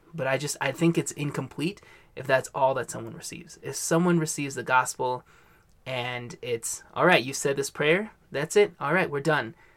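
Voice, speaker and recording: A man with a plain, everyday voice speaks at a moderate pace, his fairly high pitch showing ordinary variation while his loudness swings widely. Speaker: mission worker, podcast co-host. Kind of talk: casual discussion.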